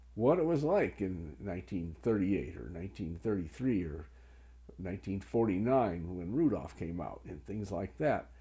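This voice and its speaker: A man's dark, mellow voice with vocal fry and very wide pitch swings. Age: 70s. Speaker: Christmas historian. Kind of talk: informal explanatory talk showing items. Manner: hesitant with frequent fillers.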